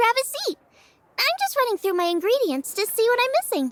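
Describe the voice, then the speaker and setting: In a put-on character voice, a woman squeaks at an extremely high pitch and a fairly quick pace, with very even loudness and a dry, close sound with no echo. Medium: video game. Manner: warm, upbeat, casual.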